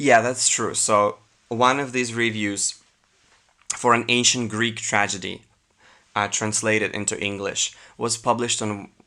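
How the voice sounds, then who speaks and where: With a non-native accent, the speaker moves at a fairly slow pace in a monotone, flat intonation, leaving long, frequent pauses. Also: man, medium pitch for a man. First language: not English. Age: 20s. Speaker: YouTuber. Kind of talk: reading aloud with commentary. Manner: casual, hesitant.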